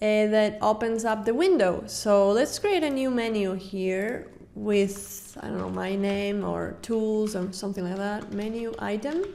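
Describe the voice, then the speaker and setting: A woman with a non-native accent, medium pitch, fairly even intonation and a fairly slow pace with hardly any pauses, in audible room echo. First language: not English. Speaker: game developer. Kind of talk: tutorial. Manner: halting.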